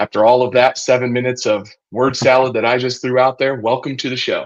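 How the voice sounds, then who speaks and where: A man speaks at a very fast pace with a medium pitch. His intonation is monotone and flat. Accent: American. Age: 30s. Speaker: podcast host, commercial real estate advisor. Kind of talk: podcast interview.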